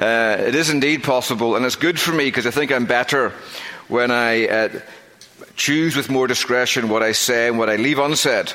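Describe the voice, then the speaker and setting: In a strong Northern Irish accent, the speaker keeps a moderate pace and fairly even intonation over noticeable background noise. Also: man. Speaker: pastor. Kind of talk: sermon. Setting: church.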